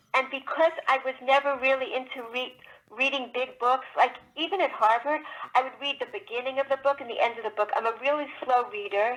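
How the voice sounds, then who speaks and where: The pace is fairly quick, with ordinary pitch variation. Background noise is noticeable. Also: woman, high pitch for a woman. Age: 60s. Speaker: children's book author. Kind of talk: interview. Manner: halting.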